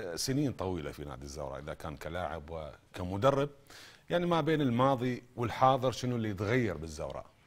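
The speaker is a man. His voice moves through very wide pitch swings. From Iraq. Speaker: sports TV host. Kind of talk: sports talk show interview. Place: studio. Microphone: lapel.

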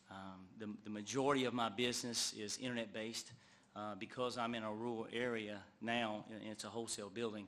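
A man's fairly low voice stays monotone and flat, with audible room echo around it. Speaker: motorcycle dealer. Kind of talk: public testimony. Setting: council meeting. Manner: halting, many fillers.

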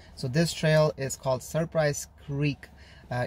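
Somewhat breathy and at a moderate pace, a man speaks with fairly even intonation in a dry sound with no echo, over light background noise. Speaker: hiker vlogger. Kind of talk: casual vlog chat. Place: car. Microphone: phone near.

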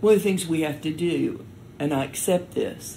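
A woman talks at a moderate pace in a somewhat breathy voice. Her pitch varies in an ordinary way. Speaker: storyteller. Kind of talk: interview answer.

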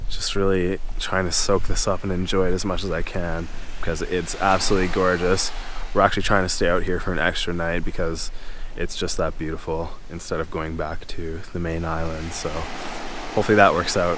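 A man with a very deep, low pitch speaks fairly quickly in a flat monotone. The sound is dry with no echo, and there is noticeable background noise. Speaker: travel vlogger. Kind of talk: casual vlog chat. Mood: relaxed, content. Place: beach. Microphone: phone near.

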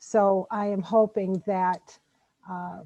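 A woman's dark, mellow voice with an American accent, flat and monotone, in a dry, close sound with no echo. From Okemos, Michigan. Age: 60s. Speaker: resident. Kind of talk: public hearing comment.

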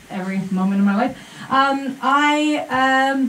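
A woman speaks at a very slow pace. Her pitch varies in an ordinary way, and the room echo is audible. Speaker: speaker. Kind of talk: casual public talk. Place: stage.

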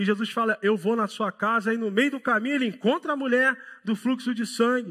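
A man speaks at a fairly quick pace in an extremely high pitch, his tone bright and sharp. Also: ordinary pitch variation, quiet background. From Rio de Janeiro, Brazil. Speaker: pastor. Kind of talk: sermon. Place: church. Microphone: headset.

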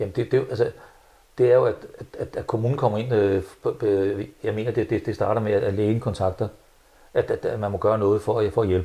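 A man speaks at a moderate pace with a dark, mellow, somewhat breathy tone. His intonation stays fairly even, broken by long, frequent pauses. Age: 70s. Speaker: interviewee. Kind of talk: interview. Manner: halting, many repetitions. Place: home room. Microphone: lapel.

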